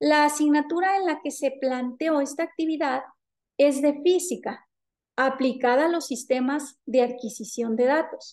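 With a Mexican accent, a woman speaks at a fairly slow pace and high pitch with fairly even intonation against a quiet background. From Mexico, Jalisco. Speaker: university lecturer and researcher; university lecturer. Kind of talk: conference presentation. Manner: formal. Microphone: webcam.

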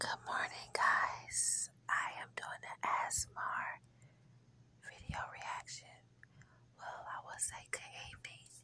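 This speaker is a woman, and she whispers. Her pace is very slow. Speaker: beauty vlogger. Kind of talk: ASMR makeup tutorial talking to camera. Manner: soft-spoken, calm. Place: home room. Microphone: phone near.

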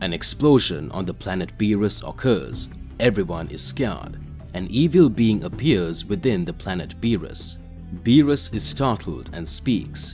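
Music plays in the background as a man with a very deep, low voice speaks at a fairly slow pace, his pitch swinging very widely. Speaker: story narrator. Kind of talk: storytelling narration, voicing characters' lines.

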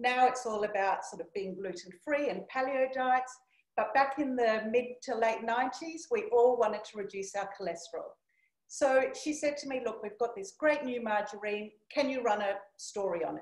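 At a moderate pace, a woman with a high pitch and ordinary pitch variation speaks with big swings in loudness, with audible room echo over a quiet background. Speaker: keynote speaker. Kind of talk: presentation talk with anecdote. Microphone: video call.

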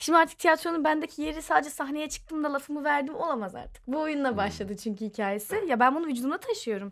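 Very fast speech with very wide pitch swings and hardly any pauses, on a very clean recording with a silent background. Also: woman, high pitch for a woman. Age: 20s. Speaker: stage and screen actress. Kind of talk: casual chat.

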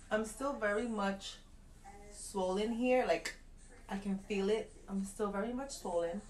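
Light background noise runs under the recording. A woman speaks at a fairly slow pace with fairly even intonation. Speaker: new mother vlogger. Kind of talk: casual vlog chat. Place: home room. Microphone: phone near.

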